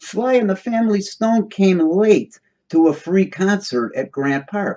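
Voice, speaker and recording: A man's high-pitched voice with an American accent, lively intonation and a fairly slow pace. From Chicago, US Midwest. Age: 60s. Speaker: video commentator. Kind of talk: solo commentary monologue. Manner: halting, many fillers and restarts.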